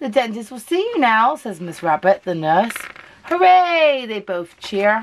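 The reading voice here comes out unforced.

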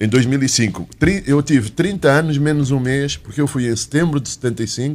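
The man's voice sits at a medium pitch and moves fairly slowly. His intonation barely shifts and stays fairly even. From Angola (Uíge) and Portugal; Angola. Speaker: economics journalist. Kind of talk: panel interview. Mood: reflective storytelling. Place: studio. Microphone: studio mic.

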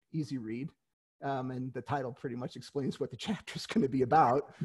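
Somewhat breathy and fairly quick, a man speaks with an American accent and ordinary pitch variation. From New York City, Queens; New York. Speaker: author and retired lawyer; retired lawyer. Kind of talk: interview. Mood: friendly, relaxed. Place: home room. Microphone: headset.

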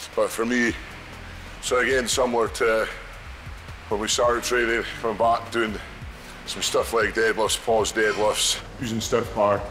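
A man talks at moderate speed while music plays behind him. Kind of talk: interview answer. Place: gym. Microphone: lapel.

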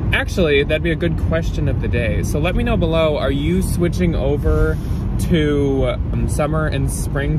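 Against loud background noise, a man speaks at a moderate pace, the sound dry with no echo. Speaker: thrift reseller vlogger. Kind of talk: casual vlog chat. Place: car. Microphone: phone near.

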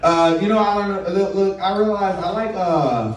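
A man is speaking. Audible room echo and light background noise surround his voice. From Chicago, US Midwest. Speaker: stand-up comedian. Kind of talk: stand-up comedy set, confessional one-liners. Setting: stage with live audience. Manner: crude punchline-driven delivery, laughing at own jokes. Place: stage.

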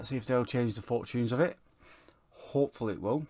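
A man at a fairly quick pace, dark, mellow tone, ordinary pitch variation, on a very clean recording with a silent background. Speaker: gaming YouTuber. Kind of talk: football game let's play with live-style match commentary. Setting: home recording, voiceover over game footage. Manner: fast, clipped play-by-play of passes and shots, rising to an excited 'Oh, and he scores'.

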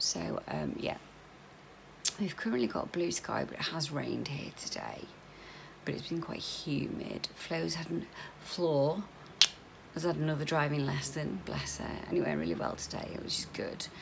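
A woman talks at a moderate pace, with noticeable background noise around her. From UK. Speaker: vlogger. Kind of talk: casual chat. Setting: video vlog at home. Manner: chatty, informal. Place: home room. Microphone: phone near.

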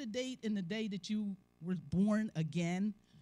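A woman speaks in a somewhat breathy voice. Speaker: church elder preaching. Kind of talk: sermon. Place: church. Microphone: handheld.

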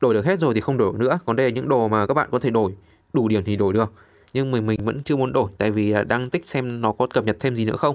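Talking very fast with ordinary pitch movement, a man comes through on a very clean recording against a silent background. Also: medium pitch for a man, very even loudness. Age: 30s. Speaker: gaming YouTuber. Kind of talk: game tutorial walkthrough.

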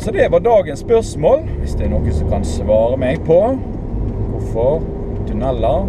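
Over loud background noise, a man speaks at a fairly slow pace in a dry recording with no echo. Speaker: driver vlogger. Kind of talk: casual vlog chat. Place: car. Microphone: camera far.

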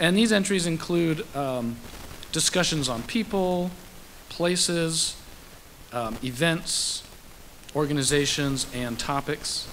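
Here a man speaks at a very slow pace with a fairly high pitch. His pitch varies in an ordinary way, with light background noise behind him. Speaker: information designer; presenter. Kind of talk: live software demo. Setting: stage with audience. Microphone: podium.

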